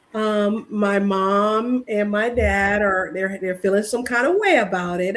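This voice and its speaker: A woman speaks in a fairly high voice. Noticeable background noise runs underneath. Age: 60s. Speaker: YouTuber on workplace issues. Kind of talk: casual conversation on a livestream. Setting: livestream.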